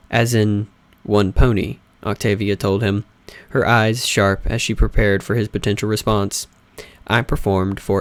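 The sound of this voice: Fairly even intonation marks the unforced reading voice in this clip.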